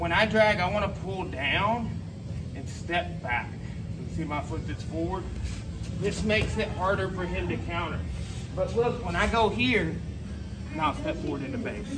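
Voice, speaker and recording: Noticeable background noise accompanies a man speaking at a moderate pace with long, frequent pauses. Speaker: jiu-jitsu instructor. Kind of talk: tutorial. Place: gym. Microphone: camera far.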